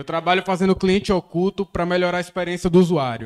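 A man with a high pitch at a fairly quick pace over a quiet background. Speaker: business consultant. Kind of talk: casual group chat. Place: meeting room. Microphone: handheld.

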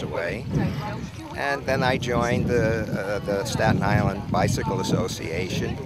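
The speech moves at a moderate pace, the sound dry with no echo. Loud background noise is present. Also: man. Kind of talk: interview answer. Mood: relaxed, friendly. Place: street.

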